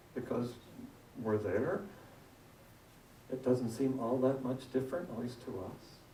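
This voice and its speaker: Noticeable background noise and audible room echo around a man's fairly slow, medium-pitched speech with ordinary pitch variation. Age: 60s. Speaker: guest minister. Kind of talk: sermon. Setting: church. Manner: interactive, conversational.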